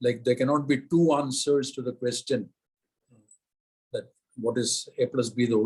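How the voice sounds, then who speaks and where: Fairly even in intonation and somewhat breathy, a man speaks at a medium pitch and a moderate pace. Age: 70s. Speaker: retired civil servant. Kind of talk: lecture. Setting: video call.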